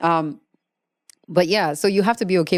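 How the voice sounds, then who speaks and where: A woman with a Ugandan accent talks at a fairly quick pace in a dark, mellow tone with ordinary pitch variation. The sound is dry and close with no echo, on a very clean recording with a silent background. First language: Luganda. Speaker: podcast host. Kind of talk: podcast monologue on meditation.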